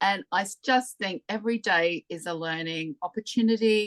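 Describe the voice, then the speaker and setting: A woman speaks at a medium pitch and a fairly slow pace with ordinary pitch variation. The sound is dry and close, with no echo. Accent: British. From UK. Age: 60s. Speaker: direct sales consultant. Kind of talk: interview conversation.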